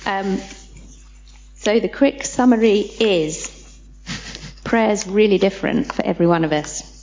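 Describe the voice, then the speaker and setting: With a British accent, a woman speaks at a fairly slow pace, leaving long, frequent pauses over noticeable background noise. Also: medium pitch for a woman, ordinary pitch variation. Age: 40s. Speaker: church leader. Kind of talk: church teaching session.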